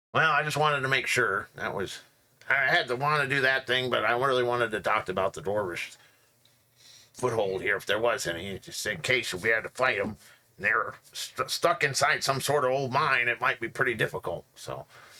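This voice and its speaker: Putting on a character voice, a man speaks at a medium pitch and a moderate pace. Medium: actual play. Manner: friendly, rambling.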